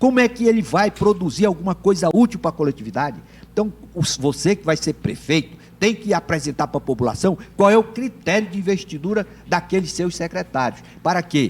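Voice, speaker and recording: With lively intonation, a high-pitched man talks at a fairly quick pace. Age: 60s. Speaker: political scientist and lawyer. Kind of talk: TV interview.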